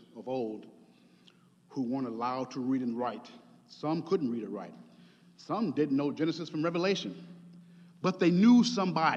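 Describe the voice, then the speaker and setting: With audible room echo, a man with a fairly high pitch speaks at a moderate pace, his pitch swinging very widely between long, frequent pauses. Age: 50s. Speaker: preacher. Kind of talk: sermon.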